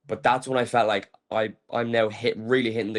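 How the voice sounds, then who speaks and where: A man with an Irish accent at a medium pitch and fairly quick pace. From Ireland. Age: 20s. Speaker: pro wrestler. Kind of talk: interview. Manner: fast, filler-heavy.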